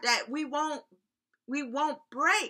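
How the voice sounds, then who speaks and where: A woman uses a raised, projected voice, high in pitch with a bright, sharp tone and ordinary pitch variation, speaking at a very slow pace in a very clean recording with a silent background. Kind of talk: fervent prayer. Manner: fervent, repeating 'Lord God' as a refrain, with exclamations of praise.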